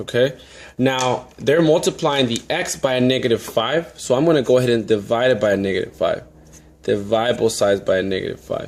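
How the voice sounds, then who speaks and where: This man has a plain, everyday voice of medium pitch, talking at a fairly quick pace with ordinary pitch variation. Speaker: math teacher. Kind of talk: tutorial.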